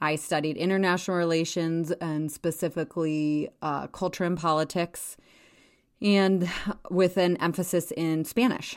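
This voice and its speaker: A woman with an American accent speaks at a moderate pace in an unremarkable speaking voice, fairly low in pitch with fairly even intonation. The recording is very clean, with a silent background. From Wyoming, US. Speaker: podcast host and town mayor. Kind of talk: casual monologue.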